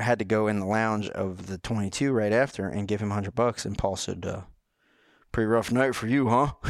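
A speaker with a North Carolina accent talks at a fairly quick pace with fairly even intonation. The recording is very clean, with a silent background. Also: man, fairly low pitch for a man. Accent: Southern American (North Carolina). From North Carolina, Rowan County. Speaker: NASCAR pit crew member and co-host. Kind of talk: casual chat.

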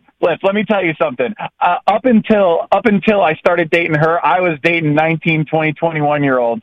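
Speaking very fast with hardly any pauses, a man uses a high pitch and ordinary pitch variation. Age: 30s. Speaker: caller. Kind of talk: casual chat.

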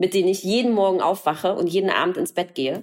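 A woman speaks at a fairly quick pace. Her pitch is medium. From East Berlin, former East Germany. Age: 40s. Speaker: author and journalist. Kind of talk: interview.

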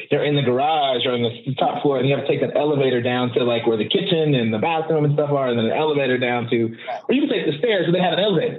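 A man with a fairly high pitch talks at a very fast pace with very even loudness. Noticeable background noise and audible room echo fill the recording. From Oakland, California (East Oakland). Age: 40s. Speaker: social justice activist and coach. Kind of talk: casual interview conversation.

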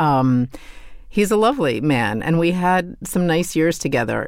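An ordinary speaking voice talks at a fairly slow pace. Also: woman. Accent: American. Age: 50s. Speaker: author. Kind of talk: interview.

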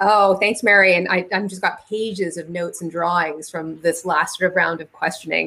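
Using hardly any pauses, a woman with a fairly low pitch and a bright, sharp tone speaks at a moderate pace with fairly even intonation. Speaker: business activist, co-host. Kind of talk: panel moderation.

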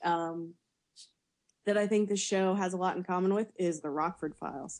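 A woman speaks in a normal speaking voice at a medium pitch and moderate pace. Her intonation is lively, and the background is quiet. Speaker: podcaster. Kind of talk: casual chat.

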